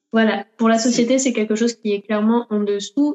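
A woman speaks in a plain, everyday voice. Her pitch is fairly high, with ordinary pitch variation. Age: 20s. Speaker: dancer. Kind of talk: interview.

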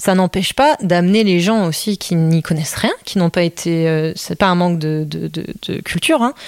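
This is a normal speaking voice at a moderate pace with ordinary pitch variation. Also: woman. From Belgium. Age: 30s. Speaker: choreographer. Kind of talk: interview. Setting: at host's home.

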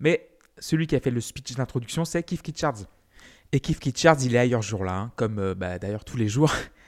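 A man with a normal speaking voice, medium in pitch, lively in intonation and moderate in pace, in a dry, close sound with no echo and a very clean recording, silent background. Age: 30s. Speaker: music podcast host. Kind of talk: solo music history podcast.

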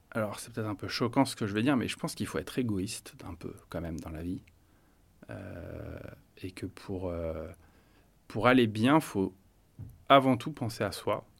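A man with a fairly low voice speaks at a moderate pace, his intonation lively and his loudness swinging widely. The recording is very clean over a silent background, with long, frequent pauses. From Paris, France. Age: 40s. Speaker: interviewee sharing personal experience. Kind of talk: personal testimony. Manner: hesitant, many fillers.

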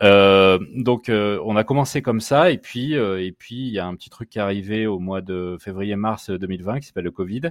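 Dry and close with no echo, a man's fairly low voice moves at a moderate pace with ordinary pitch variation. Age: 30s. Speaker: startup co-founder. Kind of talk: interview. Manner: halting, many repetitions.

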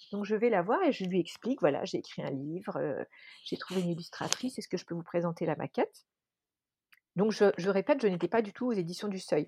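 Speaking at a fairly quick pace, a woman has a dark, mellow tone and lively intonation. The sound is dry and close with no echo, over a quiet background. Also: medium pitch for a woman. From France, Dijon (Burgundy). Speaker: author and illustrator. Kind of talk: interview.

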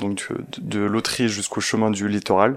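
A man's fairly low voice at a moderate pace. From Provence, southern France. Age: 20s. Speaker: engineer and ski mountaineer. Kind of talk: storytelling interview.

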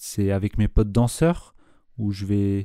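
A man speaks at a very slow pace in a dark, mellow tone with ordinary pitch variation. The recording is very clean, with a silent background. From Switzerland, Nyon. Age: 20s. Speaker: beatmaker and dancer. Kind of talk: casual interview.

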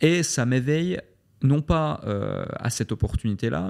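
A man with lively intonation on a very clean recording, silent in the background. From Switzerland. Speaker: entrepreneur. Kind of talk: interview. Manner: hesitant, with repetitions.

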